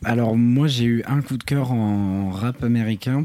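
The sound is dry and close, with no echo. A man speaks in a dark, mellow tone with ordinary pitch variation. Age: 20s. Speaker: podcast co-host. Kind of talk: casual chat. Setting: hotel room.

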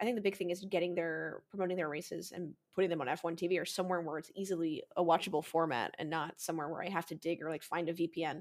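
An animated woman with an American accent speaks at a very fast pace in a fairly low pitch. The recording is very clean, with a silent background. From United States, Polish family. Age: 30s. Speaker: motorsport streamer. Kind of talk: podcast interview.

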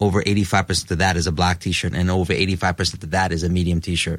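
Recorded cleanly against a silent background, a man with a New York accent speaks in a very deep, low pitch. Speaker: rock musician. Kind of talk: casual chat.

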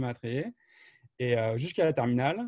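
A somewhat breathy male voice with a dark, mellow tone, in a dry, close sound with no echo. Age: 20s. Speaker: software marketing professional. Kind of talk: interview.

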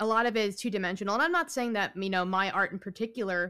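In a New York accent, a woman speaks at a medium pitch with ordinary pitch variation. The recording is very clean, with a silent background. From New York, Long Island. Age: 20s. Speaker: writer, composer and singer. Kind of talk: casual interview.

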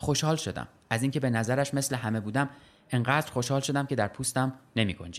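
This clip is plain reading aloud.

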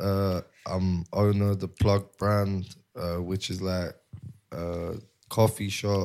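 In a London accent, a man speaks at a very slow pace in a fairly low, monotone, flat voice, with long, frequent pauses. The recording is very clean, with a silent background. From North London. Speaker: cannabis shop brand owner. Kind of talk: casual interview.

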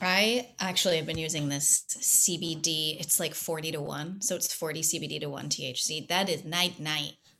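Over noticeable background noise, a woman with a very deep, low voice speaks with hardly any pauses and ordinary pitch variation. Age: 30s. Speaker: actress. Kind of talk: casual chat. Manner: animated.

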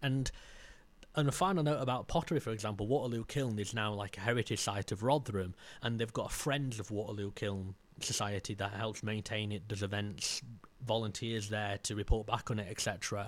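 In a South Yorkshire accent, a man speaks at a fairly low pitch with ordinary pitch variation, recorded very cleanly against a silent background. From South Yorkshire, Maltby. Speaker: heritage filmmaker and local historian. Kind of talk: casual interview chat. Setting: studio room with fans running.

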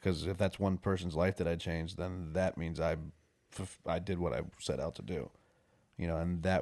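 In a very clean recording with a silent background, a man with an American accent talks at a moderate pace, his very deep, low pitch carrying vocal fry and ordinary pitch variation. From Warwick, New York. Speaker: country musician. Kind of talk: casual chat.

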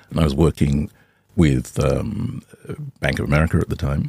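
A man speaks with a very deep, low pitch and vocal fry at a moderate pace. The sound is dry and close, with no echo. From Australia. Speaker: fintech founder. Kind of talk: interview.

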